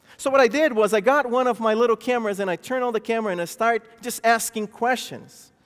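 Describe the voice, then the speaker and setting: Speaking at a very fast pace, a man with a high voice has a non-native accent. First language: not English. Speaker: pastor. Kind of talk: sermon. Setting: church.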